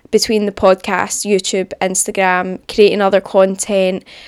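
In a Scottish accent, a woman speaks at a moderate pace, recorded with a dry, close sound with no echo on a very clean recording with a silent background. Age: 20s. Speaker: podcast host. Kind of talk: casual monologue. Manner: upbeat.

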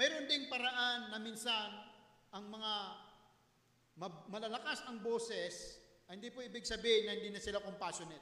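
In a raised, projected voice, a man speaks at a high pitch with big swings in loudness and long, frequent pauses. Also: ordinary pitch variation, moderate pace. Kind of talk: sermon. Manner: earnest, teacherly preaching, polite, with pauses; formal, emphatic, mixing Tagalog and English.

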